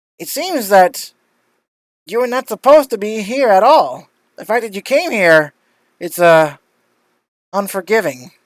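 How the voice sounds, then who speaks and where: A put-on character voice at a fairly high pitch talks at a moderate pace with long, frequent pauses, recorded very cleanly against a silent background. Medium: actual play. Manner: cryptic, ominous.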